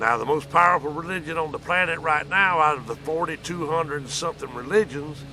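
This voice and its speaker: A man speaks at a fairly high pitch with ordinary pitch variation. Noticeable background noise can be heard. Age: 60s. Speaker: vlogger. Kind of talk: casual monologue. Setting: outdoors.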